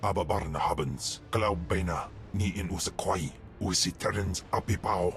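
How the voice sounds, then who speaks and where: Over clear background noise, a man at a moderate pace puts on a character voice with a very deep, low pitch. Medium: video game. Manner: speaks an ancient foreign language.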